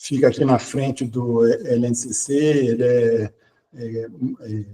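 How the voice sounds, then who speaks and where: Flat and monotone, a man speaks at medium pitch in a dark, mellow tone. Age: 60s. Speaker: quantum computing researcher and professor. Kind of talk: podcast interview. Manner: hesitant, many fillers.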